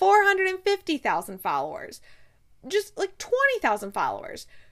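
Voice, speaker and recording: With a Midwestern American accent, a woman speaks in an animated, bright, sharp tone at an extremely high pitch with very wide pitch swings. The recording is very clean and the background silent. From US Midwest, Ohio. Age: 30s. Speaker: podcast host. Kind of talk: casual solo podcast storytelling. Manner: animated, frequent laughter.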